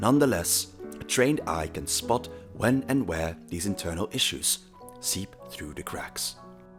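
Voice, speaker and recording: Backed by music, a man with a very deep, low pitch talks fairly slowly with very wide pitch swings. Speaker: video essay narrator. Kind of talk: scripted documentary-style narration.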